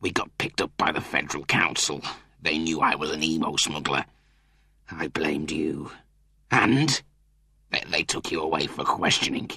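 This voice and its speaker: In a put-on character voice, a man growls at a very deep, low pitch and a moderate pace. He leaves long, frequent pauses. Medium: read story.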